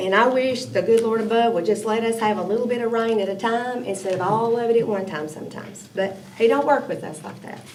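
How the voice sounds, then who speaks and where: A woman with a Tennessee accent talks at a very fast pace, her voice fairly high with ordinary pitch variation. Background noise is noticeable. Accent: Southern US (Tennessee). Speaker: city council member. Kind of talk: committee meeting discussion.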